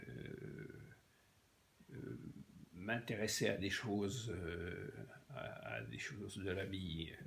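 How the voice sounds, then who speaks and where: A man speaks at a very slow pace with long, frequent pauses. His very deep, low voice has vocal fry and very wide pitch swings. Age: 80s+. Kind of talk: interview answer. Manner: halting, hesitant speech.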